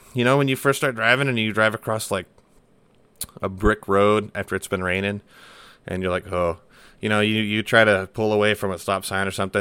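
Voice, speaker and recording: On a very clean recording with a silent background, a man with an American accent speaks very fast in a bright, sharp tone, his pitch fairly low. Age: 20s. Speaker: firefighter podcaster. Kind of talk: casual solo monologue. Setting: home desk setup. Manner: casual, rambling with fillers.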